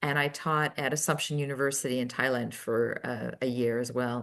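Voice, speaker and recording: Against a quiet background, a woman talks with an American accent. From Utah, US. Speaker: public policy professor. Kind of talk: interview.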